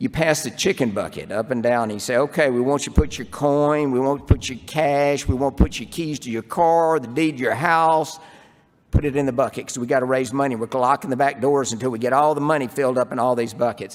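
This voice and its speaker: A man with a Southern US accent speaks at a very fast pace. His pitch is medium, with ordinary variation. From US South. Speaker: urologist. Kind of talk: conference talk. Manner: animated.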